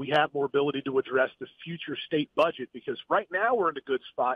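A man speaks at a fairly quick pace in a plain, everyday voice with an American accent, his pitch fairly high and his pitch variation ordinary. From West Virginia (Huntington). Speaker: gubernatorial candidate, businessman. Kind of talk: phone interview. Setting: phone call from a car.

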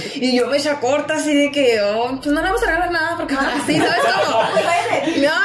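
Loud background noise surrounds a woman's high-pitched voice. She speaks with hardly any pauses. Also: ordinary pitch variation, fairly quick pace. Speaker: radio broadcaster, communications graduate. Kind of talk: casual podcast interview answer. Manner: expressive, talkative, informal. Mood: lively, amused storytelling. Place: studio.

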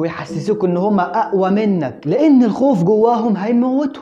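A man with an Egyptian accent speaks at a moderate pace with lively intonation while faint music plays behind him. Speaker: Islamic scholar, Quran explainer. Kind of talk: casual religious explainer talk to camera. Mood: playful, teasing at times. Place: studio. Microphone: lapel.

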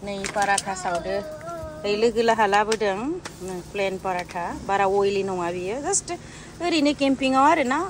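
Over noticeable background noise, a woman at medium pitch speaks at a moderate pace with lively intonation, the sound dry with no echo. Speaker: vlogger. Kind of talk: casual vlog chat. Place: open country. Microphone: phone near.

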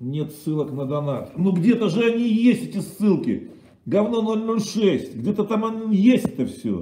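A man speaks at a fairly slow pace, his high-pitched voice dark and mellow in tone. Audible room echo and light background noise surround him. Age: 50s. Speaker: streamer. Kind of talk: casual livestream monologue. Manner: animated. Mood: irritated, crude. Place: kitchen. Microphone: webcam.

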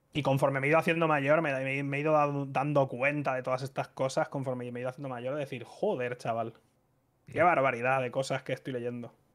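Over a quiet background, a man speaks at a medium pitch with a Spanish accent, fairly even intonation and a fairly quick pace. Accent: Spanish (Spain). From Spain. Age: 30s. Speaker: streamer. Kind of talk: casual chat. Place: home room. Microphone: studio mic.

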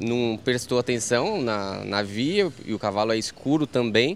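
A man speaks at a fairly slow pace with very wide pitch swings. The sound is dry with no echo, over light background noise. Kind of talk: interview answer. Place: station. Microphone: handheld.

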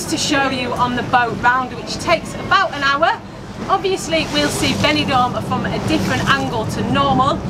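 A woman at a moderate pace, her pitch varying in an ordinary way, with loud noise in the background. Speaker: travel vlogger. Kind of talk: travel guide commentary. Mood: cheerful, upbeat. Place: boat.

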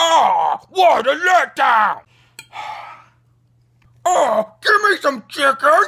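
A man performs a put-on character voice at an extremely high pitch. He speaks very slowly, with long, frequent pauses. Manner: excited, whiny.

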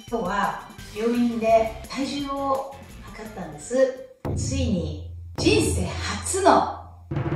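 A woman talks at a very slow pace with big swings in loudness, amid audible room echo and clear music in the background. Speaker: pregnancy vlogger. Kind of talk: casual vlog chat. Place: home room.

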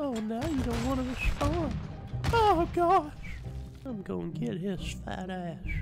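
A man puts on a character voice over clear background music. He speaks at a fairly slow pace with long, frequent pauses. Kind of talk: comic voice impression. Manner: creepy, insulting, fake-polite.

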